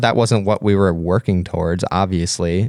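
An ordinary speaking voice from a man, fairly quick, with ordinary pitch variation and a dry, close sound with no echo. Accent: American. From US, Pennsylvania. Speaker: adventurer and photographer. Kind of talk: interview. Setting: studio.

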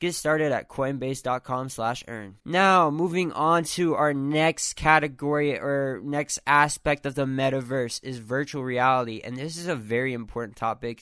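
This man talks at a moderate pace with a fairly high pitch, a bright, sharp tone and ordinary pitch variation. The recording is very clean with a silent background, and there are hardly any pauses. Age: 20s. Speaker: solo podcast host. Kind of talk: casual monologue. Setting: his bedroom. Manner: many filler words and false starts.

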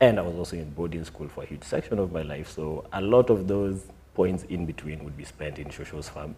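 Speaking at a fairly quick pace, a man with a very deep, low voice shows big swings in loudness and ordinary pitch variation. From Kenya (Timau, Meru area). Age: 20s. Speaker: writer, actor and director. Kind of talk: casual chat. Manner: halting.

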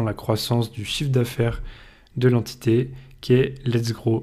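Speaking at a fairly slow pace, a man keeps a medium pitch. His intonation is monotone and flat. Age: 20s. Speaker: podcast host, business school student. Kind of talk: solo podcast monologue. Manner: informal, with frequent hesitations.

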